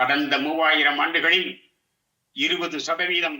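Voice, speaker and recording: Fairly even intonation from a man with a plain, everyday voice. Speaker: retired teacher. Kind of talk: educational lecture to camera.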